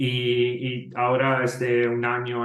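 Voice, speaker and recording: A man speaks with an Italian accent. Noticeable background noise is audible. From Italy. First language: Italian (speaking Spanish). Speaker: software company employee. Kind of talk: podcast interview.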